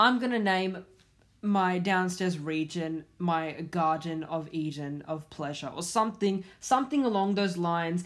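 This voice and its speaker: A woman with an ordinary speaking voice, fairly low in pitch, at a fairly slow pace, with ordinary pitch variation. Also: very clean recording, silent background. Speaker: podcast host. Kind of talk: angry rant; solo podcast monologue.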